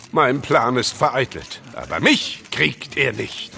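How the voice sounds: A put-on character voice speaks slowly with vocal fry. Its bright, sharp tone makes big pitch swings. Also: man, medium pitch for a man.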